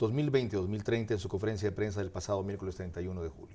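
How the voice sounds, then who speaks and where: Talking at a very fast pace, a man has a dark, mellow tone that is somewhat breathy. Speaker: TV political commentator and interviewer. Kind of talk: scripted editorial narration.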